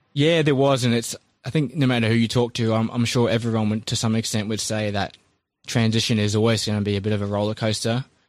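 A man's very fast, fairly even delivery in a New Zealand accent, medium in pitch, on a very clean recording with a silent background. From New Zealand, Christchurch. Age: 30s. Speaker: army veteran and small business owner. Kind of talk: interview, casual.

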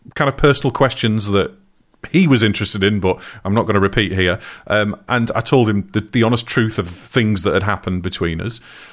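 A man's fairly low-pitched voice at a fairly quick pace, with ordinary pitch variation. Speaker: podcast co-host. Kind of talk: casual chat. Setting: live stream.

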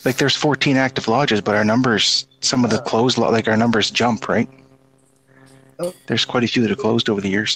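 A man's normal speaking voice at a fairly quick pace, with ordinary pitch variation, very even loudness and a dry, close sound with no echo. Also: medium pitch for a man. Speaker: Freemason guest. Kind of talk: casual chat.

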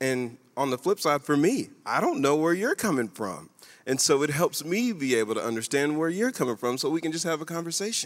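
With an American accent, a man uses an ordinary speaking voice at a fairly quick pace, with lively intonation and a fairly high pitch. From Kentucky, US. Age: 30s. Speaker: church guest speaker. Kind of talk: church stage conversation. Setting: church stage with audience.

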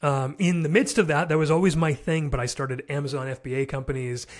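A man with a normal speaking voice talks at a fairly high pitch and fairly quick pace, keeping his intonation fairly even. The recording is very clean, with a silent background. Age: 30s. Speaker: entrepreneur and fatherhood podcaster. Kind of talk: casual interview.

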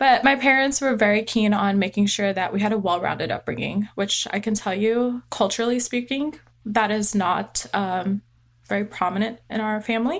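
An unremarkable speaking voice from a woman with an American accent, fairly high pitch, ordinary pitch variation and moderate pace. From US West Coast, small-town California (Tulare). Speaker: army veteran, former combat medic and nurse. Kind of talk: interview conversation.

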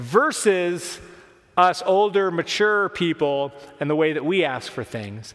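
A man speaks at a fairly slow pace. His pitch is high and his intonation lively. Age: 40s. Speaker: pastor. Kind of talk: sermon.

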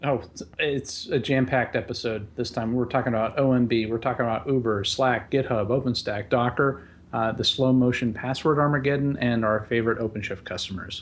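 With a plain, everyday voice, a man talks at a medium pitch with fairly even intonation. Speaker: podcast co-host. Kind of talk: casual chat.

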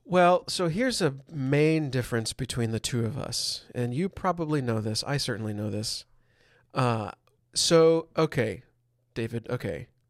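A man with a plain, everyday voice at a medium pitch, fairly slow and lively in intonation, on a very clean recording with a silent background. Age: 30s. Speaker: Jesuit priest and painter. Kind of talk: casual chat.

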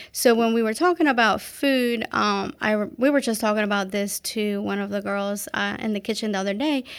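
An unremarkable speaking voice from a woman, moderate in pace and medium in pitch, on a very clean recording with a silent background. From Guatemala, raised in Maryland from age nine. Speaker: restaurant owner. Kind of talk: interview.

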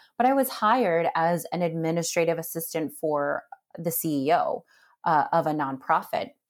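In a very clean recording with a silent background, a woman with an American accent speaks at a moderate pace in a plain, everyday voice. Her pitch is fairly low and her intonation lively. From US, New Jersey. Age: 30s. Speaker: philanthropy executive. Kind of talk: interview.

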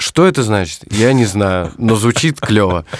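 A plain, everyday voice from a man, fairly low in pitch with lively intonation, on a very clean recording with a silent background. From Russia, Moscow region (Zhukovsky). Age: 20s. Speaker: musician and music producer. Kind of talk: casual interview chat.

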